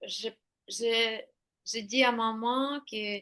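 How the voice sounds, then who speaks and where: A woman with a Ukrainian accent and a fairly high pitch speaks in a bright, sharp tone with monotone, flat intonation. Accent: Eastern European (Ukrainian) accent in French. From Ukraine. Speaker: intuitive painter. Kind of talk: interview. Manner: halting.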